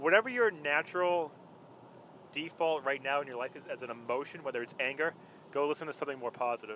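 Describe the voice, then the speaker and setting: A man's fairly high, bright, sharp voice at a fairly quick pace, with ordinary pitch variation. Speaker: fitness trainer. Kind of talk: casual chat. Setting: in a car.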